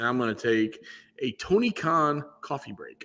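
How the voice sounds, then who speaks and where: Bright and sharp in tone, a man talks at a fairly high pitch. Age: 40s. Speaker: wrestling podcast co-host. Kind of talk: casual chat. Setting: live stream. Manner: animated.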